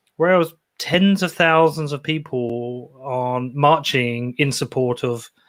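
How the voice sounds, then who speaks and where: This very clean recording has a silent background. On it, a man talks with a British accent. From Britain. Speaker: podcaster. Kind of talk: interview.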